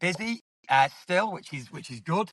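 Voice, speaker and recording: A man talks with an English accent at a moderate pace. The background is quiet. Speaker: estate agent podcast co-host. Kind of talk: casual chat. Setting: in a car.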